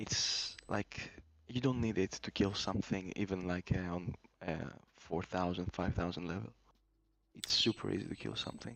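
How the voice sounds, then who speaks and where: There is a man with a non-native accent whose very deep, low pitch varies in an ordinary way. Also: moderate pace. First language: not English. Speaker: gamer, guest on stream. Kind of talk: casual chat. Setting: voice call. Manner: halting, many fillers.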